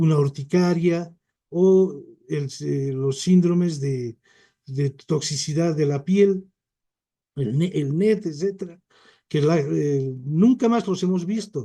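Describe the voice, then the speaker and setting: A man's very slow delivery with long, frequent pauses, fairly high pitch, a dark, mellow tone, and ordinary pitch variation. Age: 60s. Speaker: physician and Chagas specialist. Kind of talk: lecture.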